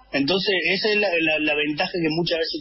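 Fairly high in pitch, a man talks at a fairly quick pace. There is noticeable background noise. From Argentina, Alta Gracia, Córdoba. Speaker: football supporters' club leader. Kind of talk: casual radio interview. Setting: remote call via Zoom.

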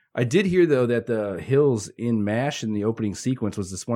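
Talking at a very fast pace, a man with a Midwestern American accent uses a medium pitch and ordinary pitch variation. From Northwest Indiana. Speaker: media company CEO. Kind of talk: casual interview chat. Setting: studio.

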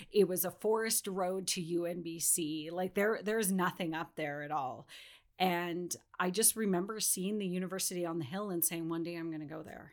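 On a very clean recording with a silent background, a woman with a Western Canadian accent speaks at a moderate pace in a fairly low pitch with fairly even intonation. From British Columbia, Canada. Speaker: non-profit fundraising director. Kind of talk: casual interview.

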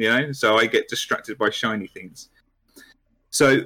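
The voice of a man in a British accent, its pitch varying in an ordinary way. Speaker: hobby social media manager and YouTuber. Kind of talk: casual chat. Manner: low energy, sedate.

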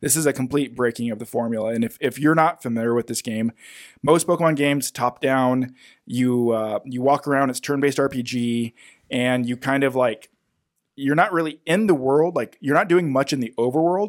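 In a normal speaking voice of medium pitch, a man talks at a fairly quick pace with ordinary pitch variation, recorded very cleanly with a silent background and a dry, close sound with no echo. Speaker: podcast host. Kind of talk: casual banter, game review. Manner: joking, bantering.

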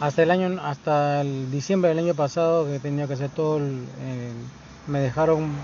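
There is noticeable background noise behind this man. His pitch is fairly high, his pace moderate and his intonation fairly even. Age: 30s. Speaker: podcaster and small business owner. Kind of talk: casual monologue. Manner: halting, many fillers and repetitions.

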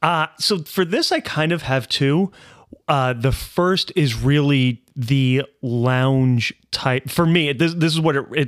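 Over a very clean recording with a silent background, a man with a plain, everyday voice speaks fairly high in pitch with ordinary pitch variation and very even loudness. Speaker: podcast host. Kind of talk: casual banter podcast. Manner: casual, joking.

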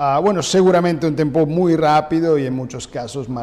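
A man speaks with an Italian accent. Noticeable background noise runs under his voice. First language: Italian (speaking Spanish). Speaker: diplomat. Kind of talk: interview. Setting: office. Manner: halting.

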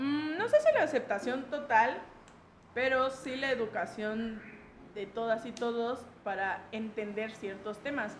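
With noticeable background noise and audible room echo, a woman speaks at a high pitch with ordinary pitch variation. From Mexico, Chiapas (Tuxtla Gutiérrez). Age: 20s. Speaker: LGBT activist. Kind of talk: casual interview.

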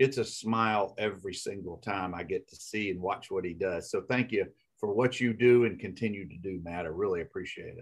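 Talking at a fairly quick pace, a man speaks with a Southern US accent. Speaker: podcast host, lawyer. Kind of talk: casual interview chat.

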